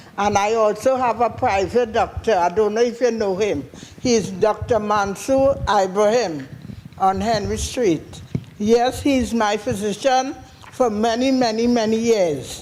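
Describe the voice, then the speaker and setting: A woman with a Trinidadian accent speaks fairly slowly at a fairly high pitch, with ordinary pitch variation and very even loudness over noticeable background noise. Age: 60s. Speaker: audience member. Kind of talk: question from the floor.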